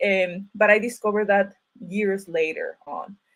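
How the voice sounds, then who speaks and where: With a Mexican accent, a woman speaks at medium pitch with fairly even intonation. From Mexico (Ciudad Obregón, Sonora). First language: Spanish. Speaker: writer and university teacher. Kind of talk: panel talk at online event. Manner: halting, many fillers and restarts.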